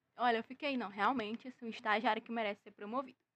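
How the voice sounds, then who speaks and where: The sound is dry and close with no echo, carrying a woman's fairly high-pitched voice. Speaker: comedy news podcast host. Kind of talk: casual comedic news monologue. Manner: animated.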